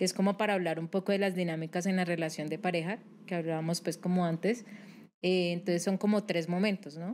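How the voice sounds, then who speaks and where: A woman speaks at a medium pitch and a fairly quick pace. Her intonation is fairly even, with light background noise. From Colombia, Cali. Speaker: psychologist; guest. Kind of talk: interview. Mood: calm, serious explanatory. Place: studio. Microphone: studio mic.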